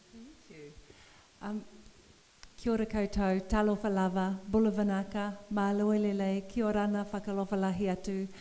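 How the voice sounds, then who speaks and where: A woman's medium-pitched voice stays monotone and flat, moving at a moderate pace. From New Zealand. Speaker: poet and professor. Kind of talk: public conversation.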